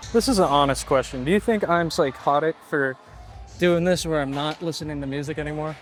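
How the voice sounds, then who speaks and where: Over music in the background, a man with a fairly high pitch speaks at a fairly quick pace with ordinary pitch variation. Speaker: fitness vlogger. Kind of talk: gym vlog. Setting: gym. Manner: fast.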